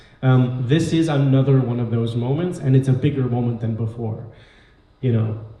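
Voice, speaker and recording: A man at a medium pitch and moderate pace, fairly even in intonation, with audible room echo. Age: 40s. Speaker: panel speaker at community event. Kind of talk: panel discussion.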